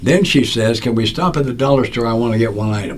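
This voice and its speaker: With audible room echo, a man at a medium pitch speaks at a fairly quick pace. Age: 80s+. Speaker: recovery speaker and author. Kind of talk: podcast interview storytelling. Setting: studio.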